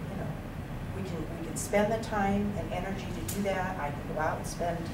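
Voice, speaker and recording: A woman against loud background noise. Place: meeting room. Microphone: camera far.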